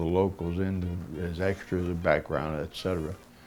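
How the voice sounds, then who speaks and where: With music in the background, a man with an American accent talks at a moderate pace in a very deep, low pitch. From US Midwest, central Ohio. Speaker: actor, war veteran. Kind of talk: documentary interview.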